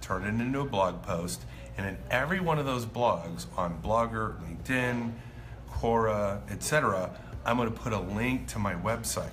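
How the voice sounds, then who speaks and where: There is light background noise as a man speaks at a fairly slow pace. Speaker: marketing coach. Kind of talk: casual vlog chat. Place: cafe. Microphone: phone near.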